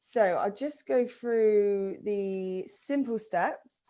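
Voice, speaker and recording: Over a very clean recording with a silent background, the voice has a dark, mellow tone. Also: woman. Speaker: event company owner presenting a virtual offering. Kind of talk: sales pitch.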